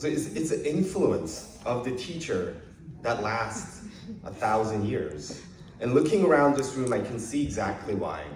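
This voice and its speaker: Speaking fairly slowly with a Korean accent, a man at medium pitch makes very wide pitch swings, with audible room echo and noticeable background noise. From South Korea, moved to Canada as a child in grade five. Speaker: politician. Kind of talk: public speech at event. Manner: many filler hesitations.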